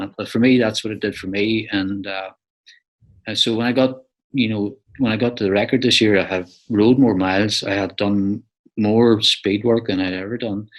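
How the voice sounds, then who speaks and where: A man with an Irish accent speaks at a moderate pace and fairly low pitch, with fairly even intonation. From Ireland. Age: 60s. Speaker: ultra cyclist. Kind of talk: interview.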